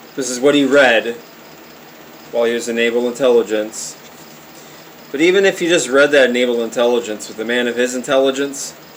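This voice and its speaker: A man talks at a fairly quick pace, with long, frequent pauses. Noticeable background noise is present. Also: medium pitch for a man, ordinary pitch variation. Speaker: conspiracy video maker. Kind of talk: casual monologue with reading aloud. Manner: stammering, hesitant; unscripted, improvised.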